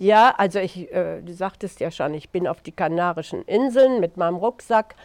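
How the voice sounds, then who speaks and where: Against a quiet background, a woman speaks at a medium pitch, the sound dry and close with no echo. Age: 70s. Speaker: author. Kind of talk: interview. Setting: outdoors.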